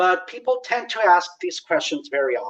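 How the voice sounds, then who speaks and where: This speaker has a Spanish accent and talks at a moderate pace. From Mexico. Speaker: presenter. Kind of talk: lecture.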